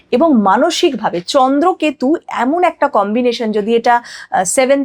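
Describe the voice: A woman speaks at a fairly high pitch with lively intonation. Her tone is slightly mellow.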